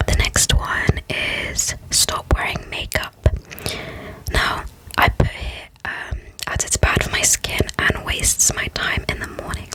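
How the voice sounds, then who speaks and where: Whispering at a very slow pace, a woman comes through over noticeable background noise. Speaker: ASMR creator. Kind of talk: ASMR whisper ramble. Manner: whispered, close up.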